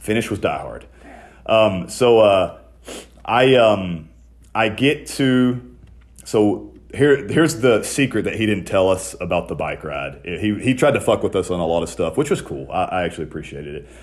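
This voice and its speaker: This man talks at a moderate pace with a fairly low pitch, very wide pitch swings and vocal fry. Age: 30s. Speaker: podcast host and ex-wrestler. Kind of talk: casual chat.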